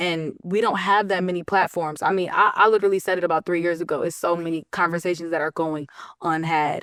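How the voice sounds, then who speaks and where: A woman talks at a very fast pace in an animated tone. Her pitch is fairly low. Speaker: rapper. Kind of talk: casual chat.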